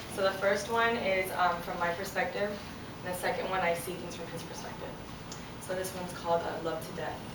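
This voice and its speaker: Fairly quick, monotone delivery with flat intonation over noticeable background noise. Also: woman, medium pitch for a woman. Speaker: spoken word poet. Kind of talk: casual introduction to live audience.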